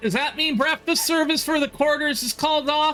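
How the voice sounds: A squeaky put-on character voice from a man, extremely high in pitch, at a moderate pace over faint background music.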